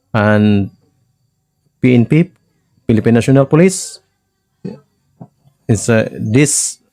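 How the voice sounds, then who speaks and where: A man with a medium pitch talks at a very slow pace, with lively intonation, very even loudness and long, frequent pauses. Music plays in the background, and the sound is dry and close with no echo. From Philippines. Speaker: life coach. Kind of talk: lecture. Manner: halting.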